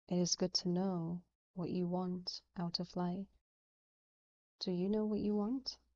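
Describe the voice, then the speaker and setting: A woman's raspy, put-on character voice at medium pitch, fairly slow and monotone, with long, frequent pauses. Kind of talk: courteous, gracious. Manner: slow, measured.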